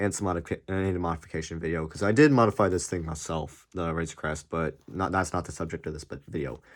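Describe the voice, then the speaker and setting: A put-on character voice, raspy and mumbling, rushes along at a very fast pace with hardly any pauses. Its pitch varies in an ordinary way. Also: man, very deep, low pitch for a man. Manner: mumbling, stuttering.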